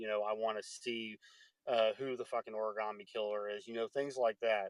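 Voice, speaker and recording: The sound is dry and close with no echo as a man speaks at a fairly low pitch. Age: 30s. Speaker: podcast host. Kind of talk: casual chat. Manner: halting, many fillers and repeats.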